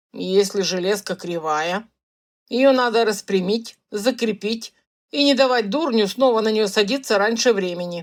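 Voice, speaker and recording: Someone speaks in a put-on character voice at a moderate pace. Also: woman, fairly high pitch for a woman, ordinary pitch variation. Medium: read story. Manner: gruff, blunt.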